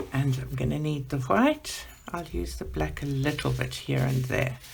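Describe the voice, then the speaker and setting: A soft-spoken woman talks at a fairly slow pace. Noticeable background noise and audible room echo fill the recording. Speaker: art channel host, adult colouring. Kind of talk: colour-along tutorial. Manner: soft, voice fades while working.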